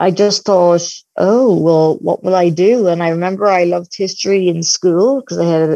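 Recorded dry and close with no echo, a woman in a Dublin accent speaks at a moderate pace, her fairly low pitch carrying a dark, mellow tone and ordinary pitch variation. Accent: Dublin Irish. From Ireland, Dublin. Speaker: academic. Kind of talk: interview. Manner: halting, with repeated words.

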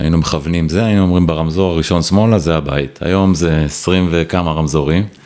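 A man's very deep, low voice at a very fast pace, very even loudness and fairly even intonation, over noticeable background noise. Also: hardly any pauses. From Israel, Ra'anana. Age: 40s. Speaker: telecom executive. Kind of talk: casual interview.

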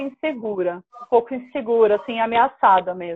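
Lively intonation marks this woman's speech, delivered at a moderate pace. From São Paulo coast, Brazil (Praia Grande). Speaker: solo traveler and women's travel group organizer. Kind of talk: casual interview chat.

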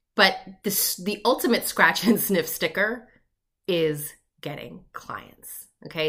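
A woman with a New York accent speaks in a bright, sharp, animated tone at a medium pitch. Her intonation is lively, and the recording is very clean with a silent background. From US, Long Island, New York. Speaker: business coach podcast host. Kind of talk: solo podcast monologue.

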